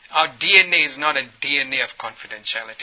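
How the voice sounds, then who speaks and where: A man's voice over noticeable background noise. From Ethiopia. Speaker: dentist turned trainer of healthcare workers. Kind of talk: workshop presentation.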